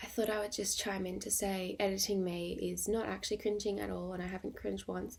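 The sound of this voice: A woman puts on a raspy character voice. She talks at a very fast pace.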